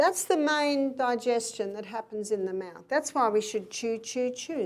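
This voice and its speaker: In an animated tone with high pitch and ordinary pitch variation, a woman speaks at a moderate pace on a very clean recording with a silent background. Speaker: health educator. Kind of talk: health lecture.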